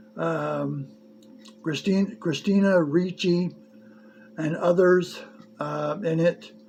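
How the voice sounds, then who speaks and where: Music plays behind a man speaking at a high pitch. He talks at a very slow pace with fairly even intonation. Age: 60s. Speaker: movie reviewer. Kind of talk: casual video review monologue. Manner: halting, many fillers.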